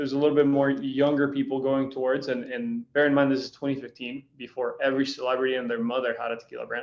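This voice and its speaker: Speaking with a Spanish accent, a man goes at a very fast pace with hardly any pauses. His pitch is fairly high and his intonation fairly even. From Costa Rica. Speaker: spirits brand founder. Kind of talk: interview. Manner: casual.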